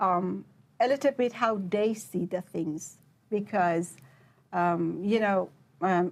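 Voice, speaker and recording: Pausing long and often, a woman with a Persian accent talks at a very slow pace. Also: medium pitch for a woman, ordinary pitch variation. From Iran, Shiraz. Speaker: PhD researcher. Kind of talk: interview. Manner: hesitant, many fillers.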